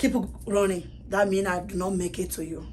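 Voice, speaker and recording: Vocal fry marks a woman's voice at medium pitch and a moderate pace. Room echo is audible. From Togo, West Africa. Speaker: salon owner, refugee. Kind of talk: personal testimony.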